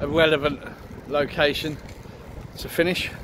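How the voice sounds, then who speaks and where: The man speaks at a very slow pace. The sound is dry with no echo, though there is noticeable background noise. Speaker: vlogger. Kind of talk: casual vlog chat. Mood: content, winding down. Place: street. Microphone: phone near.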